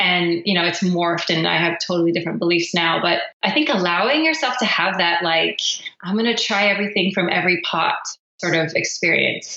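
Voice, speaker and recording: A woman with an American accent speaks at a fairly quick pace in a medium pitch. Hers is an ordinary speaking voice with ordinary pitch variation. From Philippines, raised by American parents. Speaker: singer-songwriter. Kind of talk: interview answer.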